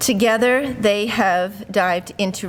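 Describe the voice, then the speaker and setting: A woman talks at a very slow pace. Her medium pitch shows ordinary variation. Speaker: university administrator. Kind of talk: ceremony speech. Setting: podium with microphone, live audience. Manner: loud.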